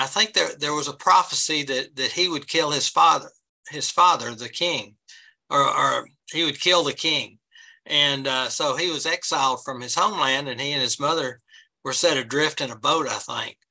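A man's bright, sharp voice at a moderate pace, with ordinary pitch variation, against a quiet background. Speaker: presenter. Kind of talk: lecture. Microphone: webcam.

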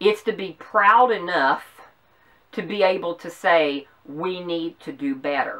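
Against a quiet background, a woman with a Southern US accent speaks very slowly in a fairly low voice, with ordinary pitch variation and big swings in loudness. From US South. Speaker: YouTuber. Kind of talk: political commentary vlog. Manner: passionate. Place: home room. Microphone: camera far.

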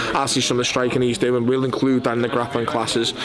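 A man speaks over noticeable background noise. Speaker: grappling coach. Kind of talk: interview answer. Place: gym.

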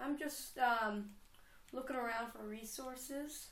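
With audible room echo, a woman speaks slowly in a fairly bright tone at a fairly high pitch. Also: ordinary pitch variation.

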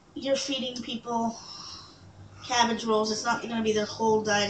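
Noticeable background noise runs through the clip. Through it, a woman talks. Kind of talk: casual cooking vlog chat. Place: kitchen. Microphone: webcam.

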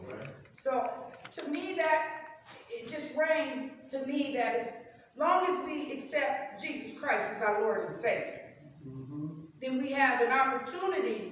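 Pitched high, a woman speaks at a fairly slow pace with long, frequent pauses. Strong room echo and light background noise surround her. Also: big swings in loudness. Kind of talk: scripture reading and teaching. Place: church. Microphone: camera far.

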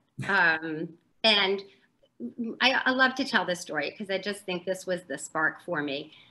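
Pausing long and often, a woman speaks in a bright, sharp tone with ordinary pitch variation. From US South, New Orleans; Louisiana. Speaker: author; interviewee. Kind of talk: casual interview. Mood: warm, friendly. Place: home room. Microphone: video call.

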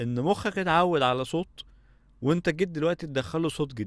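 Over a quiet background, a man speaks with lively intonation at a moderate pace, the sound dry with no echo. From Egypt. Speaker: audio engineering instructor. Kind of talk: lecture. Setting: studio. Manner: casual. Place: home room. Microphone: studio mic.

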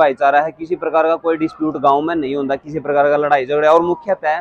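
Over a quiet background, a man talks fairly quickly in a flat monotone, the sound dry with no echo. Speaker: local video reporter. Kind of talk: walking reportage commentary. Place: street. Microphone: lapel.

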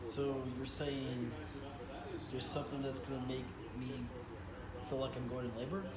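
A man talks at a moderate pace over loud background noise. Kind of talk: casual home conversation. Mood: incredulous, joking. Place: home room. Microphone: phone near.

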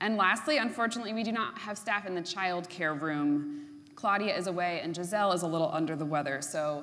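Very fast and with lively intonation, a woman speaks in a fairly low voice. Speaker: minister. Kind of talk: worship service announcements. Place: church.

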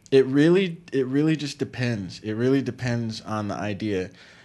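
A man speaks at a medium pitch with an American accent. His pitch varies in an ordinary way. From Palm Beach, Florida; Florida. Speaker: actor and filmmaker; actor. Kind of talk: casual chat. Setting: studio. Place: studio. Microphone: studio mic.

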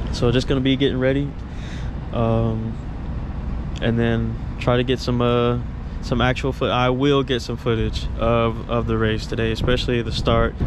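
A man talks at a moderate pace with long, frequent pauses and very even loudness. The sound is dry with no echo, though background noise is noticeable. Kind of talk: casual vlog chat. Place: open country. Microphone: phone near.

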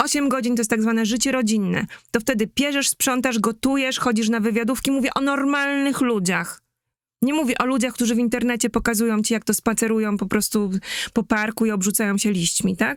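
A woman's fairly high, fairly quick delivery in a normal speaking voice, with fairly even intonation, very even loudness and a dry, close sound with no echo. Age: 40s. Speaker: market researcher and brand strategist. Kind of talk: live-stream talk.

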